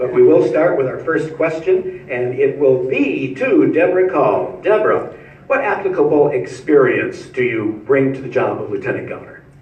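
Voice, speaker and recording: The speech comes with hardly any pauses. Audible room echo and noticeable background noise fill the recording. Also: man, moderate pace. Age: 70s. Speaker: forum moderator. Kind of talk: moderating a debate.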